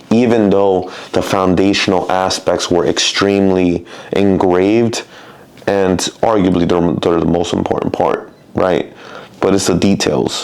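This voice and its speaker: Very deep and low, a man's voice moves at a fairly slow pace with fairly even intonation and very even loudness. Noticeable background noise runs underneath. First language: Spanish. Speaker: personal trainer. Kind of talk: casual monologue.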